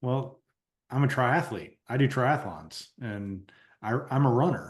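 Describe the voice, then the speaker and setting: This man has a plain, everyday voice at a medium pitch. He speaks at a fairly slow pace with ordinary pitch variation. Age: 40s. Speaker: podcast host. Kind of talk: podcast interview.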